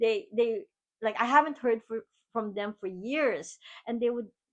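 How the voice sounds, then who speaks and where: This woman has a Filipino accent. Her pitch is fairly high and varies in an ordinary way. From Philippines. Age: 50s. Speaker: keynote speaker and podcast host. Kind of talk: motivational monologue.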